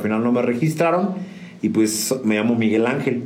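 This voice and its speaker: Amid noticeable background noise and audible room echo, a man talks at a very fast pace with ordinary pitch variation. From San Juan del Río, Querétaro, Mexico. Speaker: musician. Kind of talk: casual interview. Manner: halting, frequent fillers and repetitions.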